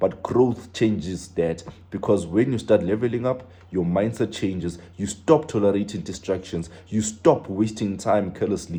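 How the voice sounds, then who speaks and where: A man with a plain, everyday voice speaks at a fairly low pitch with ordinary pitch variation and hardly any pauses. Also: moderate pace. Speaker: preacher. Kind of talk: sermon.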